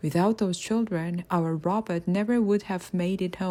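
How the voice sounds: This clip is a natural reading voice.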